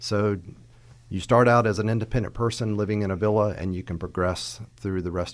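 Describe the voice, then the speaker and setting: A man with a plain, everyday voice speaks at a fairly quick pace, his pitch fairly low and his intonation fairly even. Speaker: home care agency founder. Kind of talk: interview discussion.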